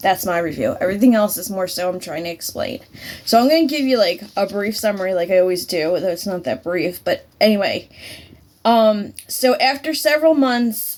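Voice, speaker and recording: At a moderate pace, a woman speaks in a medium pitch with lively intonation. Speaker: movie reviewer. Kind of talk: casual movie review monologue. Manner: halting, many fillers.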